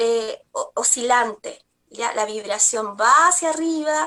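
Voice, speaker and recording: A woman's raised, projected voice, high and bright with a sharp tone and lively intonation. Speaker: spiritual energy therapist. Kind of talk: TV talk show segment. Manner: halting, many fillers.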